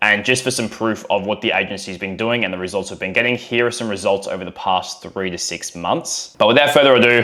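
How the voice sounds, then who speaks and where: An energetic man with an Australian accent talks at a fairly quick pace with hardly any pauses. Noticeable background noise runs underneath. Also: medium pitch for a man, ordinary pitch variation. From Australia, Melbourne. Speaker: online business coach, agency co-founder. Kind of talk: talking-head tutorial video. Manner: casual, energetic.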